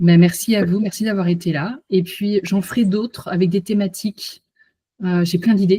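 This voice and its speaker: A woman speaks at a moderate pace in a medium pitch, somewhat breathy with a dark, mellow tone and fairly even intonation, the sound dry and close with no echo. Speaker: hypnotherapist and coach. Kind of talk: online conference wrap-up after hypnosis. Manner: soft-spoken.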